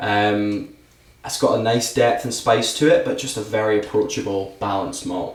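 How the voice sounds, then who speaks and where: With noticeable background noise and audible room echo, a man speaks at a moderate pace in a medium pitch. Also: fairly even intonation. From Scotland. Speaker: whisky brand ambassador. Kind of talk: casual podcast chat, whisky tasting.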